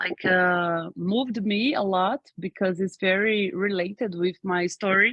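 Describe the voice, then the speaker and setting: Speaking very slowly with a Portuguese accent, a woman holds a medium pitch and ordinary pitch variation. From Brazil. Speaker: workshop participant. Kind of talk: casual introduction.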